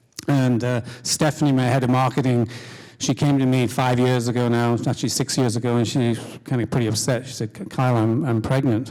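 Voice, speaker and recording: Someone with an English accent speaks at a fairly quick pace in a dark, mellow tone, with monotone, flat intonation and very even loudness, on a very clean recording with a silent background. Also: man, medium pitch for a man. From England. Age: middle-aged. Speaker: company CEO. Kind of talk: panel discussion. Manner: halting.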